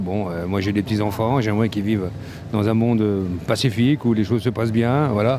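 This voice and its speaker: Audible echo fills the room around this male speaker. Beneath him, background noise is noticeable. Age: 60s. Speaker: passer-by interviewed in the street. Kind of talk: street interview. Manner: halting, many repetitions.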